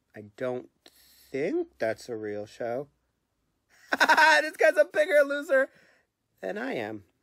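A man does a whiny put-on character voice, raised and projected, at a fairly slow pace with long, frequent pauses and big swings in loudness. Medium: comedy sketch.

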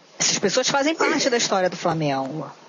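The voice is a woman's. Noticeable background noise accompanies her. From Rio de Janeiro. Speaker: podcast host. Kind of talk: interview.

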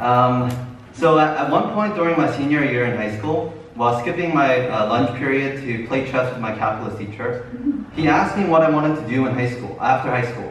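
A man talks at a fairly quick pace. Audible room echo and light background noise surround his voice. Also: ordinary pitch variation. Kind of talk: testimony speech. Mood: earnest, nervous laughs. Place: church. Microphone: camera far.

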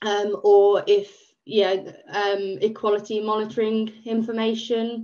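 Against a quiet background, a woman with a fairly high pitch speaks fairly slowly in a dark, mellow tone with monotone, flat intonation. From England. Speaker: volunteer project manager. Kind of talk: webinar presentation. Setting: video call. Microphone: video call.

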